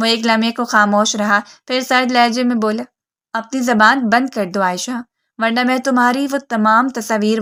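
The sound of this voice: Over a quiet background, the speaker reads in an unforced reading voice with fairly even intonation.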